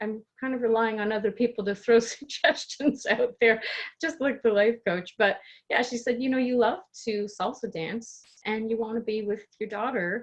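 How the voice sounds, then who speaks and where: A woman speaks at a moderate pace with a slight Canadian accent. Her pitch is fairly high and varies in an ordinary way. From Canada, Toronto. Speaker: life coach and coach trainer. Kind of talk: podcast interview.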